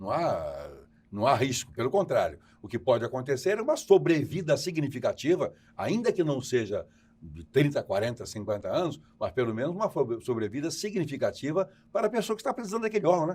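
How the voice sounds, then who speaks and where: A man with a fairly high pitch talks at a fairly quick pace, his voice showing vocal fry and very wide pitch swings. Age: 70s. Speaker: tv host. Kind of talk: tv interview. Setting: remote broadcast from New York.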